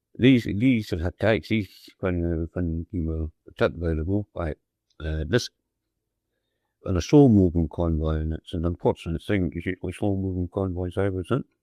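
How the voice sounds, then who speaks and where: A man with a Scottish accent speaks in a very deep, low voice with a dark, mellow tone. His pace is moderate and his pitch variation ordinary. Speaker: WW2 merchant navy radio officer. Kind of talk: personal wartime recollection. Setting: old cassette recording.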